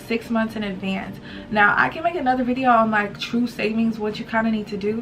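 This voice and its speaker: With music in the background, a woman talks at a fairly quick pace and a fairly high pitch. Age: 20s. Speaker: YouTuber, student and mother. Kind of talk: casual talk to camera. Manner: casual, chatty.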